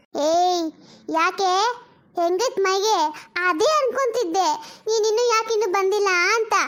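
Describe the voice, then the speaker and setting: In a cartoonish character voice, a woman speaks at an extremely high pitch with ordinary pitch variation. Her pace is fairly slow. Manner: rustic colloquial, sharp-tongued.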